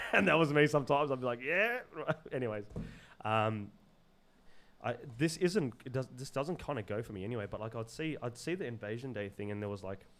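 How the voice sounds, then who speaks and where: Talking at a fairly quick pace broken by long, frequent pauses, a man with an Australian accent uses a medium pitch. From Zimbabwe, raised in Sydney area, Australia. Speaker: podcast guest. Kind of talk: casual chat. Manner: loud; halting, many repetitions.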